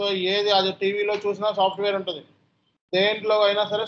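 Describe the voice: A man with a high pitch speaks in a fairly bright tone with little pitch movement.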